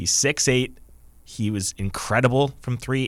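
Speaking at a moderate pace, a man with an unremarkable speaking voice holds a medium pitch with ordinary pitch variation on a very clean recording against a silent background. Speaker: podcast host. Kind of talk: casual sports podcast chat. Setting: studio.

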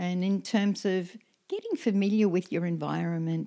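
A woman speaks fairly slowly in a fairly low voice with a dark, mellow tone. Her pitch varies in an ordinary way. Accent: Australian. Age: 70s. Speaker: permaculture elder and homesteader. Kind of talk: casual chat. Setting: tea house, handheld mics. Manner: hesitant with fillers.

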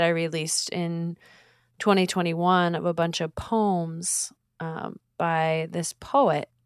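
A woman with an American accent speaks at a fairly low pitch with fairly even intonation. The sound is dry and close, with no echo. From Portland, Oregon, US. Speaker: singer-songwriter. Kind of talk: casual interview conversation. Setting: video or remote call. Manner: soft-spoken, hesitant, uses many fillers.

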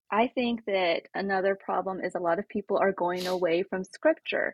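Speaking at a moderate pace with ordinary pitch variation, a woman has an unremarkable speaking voice. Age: 30s. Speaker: podcast guest. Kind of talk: casual chat.

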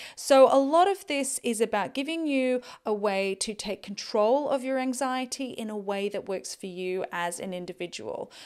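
A woman speaks at a moderate pace with a fairly high pitch, lively intonation and hardly any pauses, on a very clean recording with a silent background. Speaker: health and wellness podcast host. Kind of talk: solo podcast monologue. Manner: stumbling over words at the end.

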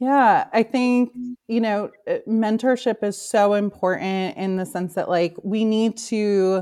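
There is a normal speaking voice from a woman with an American accent, using fairly even intonation. The recording is very clean, with a silent background. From New York. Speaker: marketing consultant. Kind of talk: interview.

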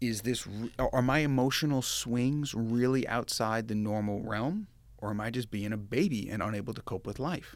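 A man with an American accent speaks at medium pitch and a moderate pace, with ordinary pitch variation and hardly any pauses, in a very clean recording with a silent background. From Long Island, New York. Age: 40s. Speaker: finance executive. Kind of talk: interview testimony.

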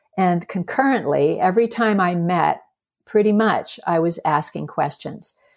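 At a fairly slow pace, a woman with an unremarkable speaking voice talks at fairly low pitch, with ordinary pitch variation and very even loudness. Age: 60s. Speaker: filmmaker. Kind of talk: interview.

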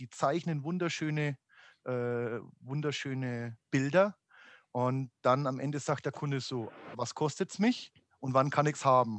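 Against a quiet background, a man speaks at a medium pitch and moderate pace with ordinary pitch variation, the sound dry and close with no echo. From Upper Franconia, Germany. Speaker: amusement industry executive. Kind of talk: podcast interview. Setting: home office. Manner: halting, many fillers.

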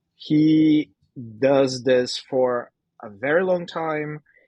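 The sound is dry and close with no echo, set against a quiet background. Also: man. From Brazil. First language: Portuguese. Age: 30s. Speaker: artist. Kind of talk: interview.

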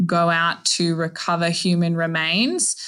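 At a very slow pace, a woman with an Australian accent speaks at a fairly low pitch. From Australia, Northern Territory. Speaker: maritime archaeologist. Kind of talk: interview. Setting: video call.

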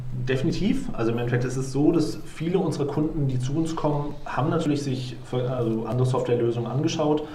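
A man talks very fast at a medium pitch with fairly even intonation. Noticeable background noise and audible room echo surround him. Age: 30s. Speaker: software company co-founder. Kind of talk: interview.

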